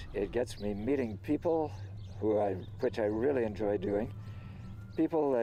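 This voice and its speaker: Dark, mellow tone with ordinary pitch variation, very even loudness and long, frequent pauses. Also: man, fairly low pitch for a man, moderate pace. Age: 70s. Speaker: volunteer. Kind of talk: interview.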